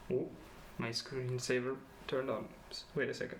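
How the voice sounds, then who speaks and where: A man speaks with a Slovene accent. Audible room echo surrounds his voice. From Slovenia. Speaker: student vlogger. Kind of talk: personal vlog presentation. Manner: hesitant, many fillers.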